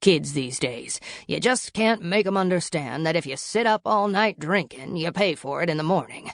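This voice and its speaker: A woman performs a put-on character voice that is raspy and fairly low in pitch. She keeps a moderate pace. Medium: read story. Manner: hearty, chatty.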